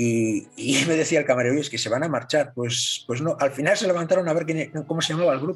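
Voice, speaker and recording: With music in the background, a man speaks very fast at a fairly high pitch with ordinary pitch variation. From northern Spain. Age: 50s. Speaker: model maker and DJ. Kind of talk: casual chat.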